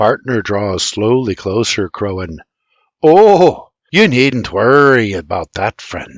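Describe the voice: Plain reading aloud with lively intonation is heard over a quiet background.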